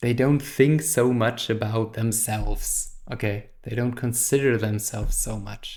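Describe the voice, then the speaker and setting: A man with a non-native accent, fairly slow in pace and fairly even in intonation. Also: medium pitch for a man, hardly any pauses. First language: not English. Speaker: therapist and philosophy teacher. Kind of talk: lecture. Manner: halting.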